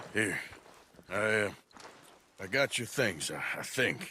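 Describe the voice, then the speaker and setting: A man speaks in a raspy, put-on character voice at a fairly low pitch. His pace is fairly slow. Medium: video game. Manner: laconic, gruff.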